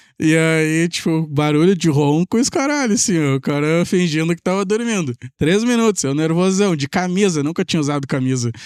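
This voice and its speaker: A high-pitched man talks at a fairly quick pace with lively intonation and very even loudness. The recording is very clean, silent in the background, dry and close with no echo. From southern Brazil, Pelotas (Rio Grande do Sul). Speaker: tech entrepreneur and programmer. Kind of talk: podcast interview storytelling.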